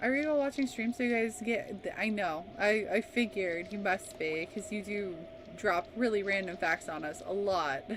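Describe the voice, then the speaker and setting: Amid noticeable background noise, a woman with an American accent speaks at medium pitch and a moderate pace, her pitch swinging very widely. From California, also lived in US South. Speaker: video game streamer. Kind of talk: casual livestream chat.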